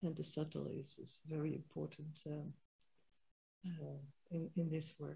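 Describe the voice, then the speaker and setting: Speaking at a moderate pace, a woman uses a very deep, low pitch, vocal fry, a dark, mellow tone and flat, monotone intonation. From Netherlands. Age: 70s. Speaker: holistic health practitioner and spiritual teacher. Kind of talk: interview. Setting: sitting side by side in person. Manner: halting.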